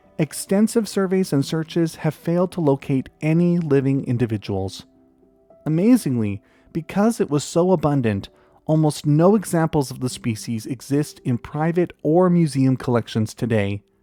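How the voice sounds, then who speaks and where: Music plays behind a man whose voice sits fairly high and swings very widely in pitch. He keeps a moderate pace, and the sound is dry and close with no echo. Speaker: nature documentary narrator. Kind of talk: documentary narration.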